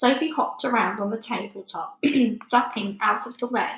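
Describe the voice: Speaking at a moderate pace with vocal fry, a woman has a medium pitch, a fairly bright tone and ordinary pitch variation.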